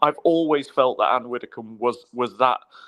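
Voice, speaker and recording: A man with a Scottish accent against a quiet background. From Scotland. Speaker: political commentator. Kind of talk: casual chat. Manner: halting.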